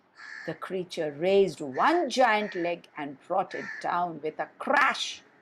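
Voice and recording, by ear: The speaker reads aloud in a natural voice, and the intonation is lively.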